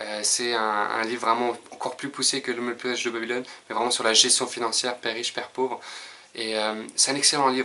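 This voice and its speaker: A man with a strong French accent, fairly quick and monotone in delivery, over noticeable background noise. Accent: strong French accent when pronouncing English. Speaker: personal development youtuber. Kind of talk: casual video monologue. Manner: hesitant, many filler sounds.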